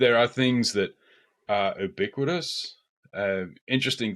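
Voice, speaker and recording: The recording is very clean, with a silent background. A man with an Australian accent speaks at a very slow pace, with ordinary pitch variation. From Australia, far north Queensland. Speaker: agile coach podcast host. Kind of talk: casual podcast conversation.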